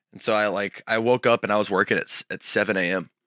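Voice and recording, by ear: A fast-talking man with a fairly low pitch and fairly even intonation, raspy yet with a clear, smooth tone that is also bright and sharp. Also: dry, close sound with no echo.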